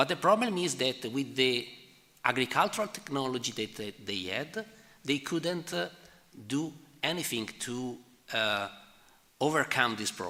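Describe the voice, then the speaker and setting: The voice, in an Italian accent, has a bright, sharp tone and very wide pitch swings, moving at a moderate pace with long, frequent pauses. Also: man, medium pitch for a man. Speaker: economic historian presenting a paper. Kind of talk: conference Q&A answer. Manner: halting, many fillers.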